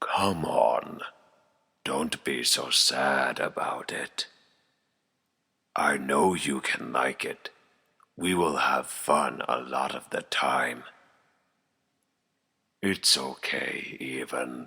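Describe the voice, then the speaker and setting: A man's raspy put-on character voice, very deep and low, at a very slow pace with long, frequent pauses. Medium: audio drama. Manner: creepy, taunting.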